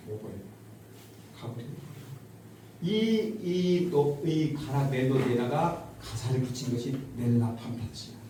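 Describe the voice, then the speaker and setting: Noticeable background noise runs under a man's voice. He speaks at a very slow pace with lively intonation. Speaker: retired university professor. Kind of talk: farewell lecture to an audience.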